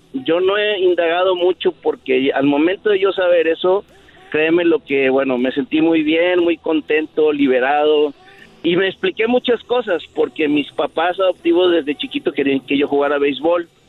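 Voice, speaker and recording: Against noticeable background noise, a man with a high pitch and ordinary pitch variation talks at a moderate pace with very even loudness. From Monterrey, northern Mexico. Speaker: caller. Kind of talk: personal story told on a radio call.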